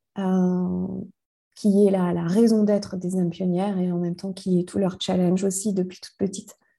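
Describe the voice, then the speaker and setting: A woman with a medium pitch speaks at a moderate pace in a dark, mellow, somewhat breathy tone. Her intonation is monotone and flat, and the background is quiet. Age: 40s. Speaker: life coach and mentor. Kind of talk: interview conversation. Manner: halting, many repetitions and fillers.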